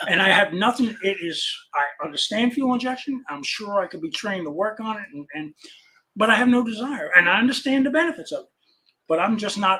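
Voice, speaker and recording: In a raised, projected voice, a man speaks fairly quickly at a high pitch with a bright, sharp tone, lively intonation and big swings in loudness. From New York, Long Island. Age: 60s. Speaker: classic car parts dealer. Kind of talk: casual chat. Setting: live stream.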